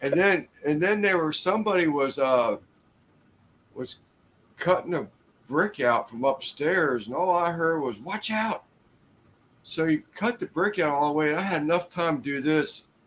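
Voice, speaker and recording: Against noticeable background noise, a man with a fairly high pitch talks at a moderate pace. His intonation is lively, and he takes long, frequent pauses. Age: 60s. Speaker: construction worker. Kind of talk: casual chat.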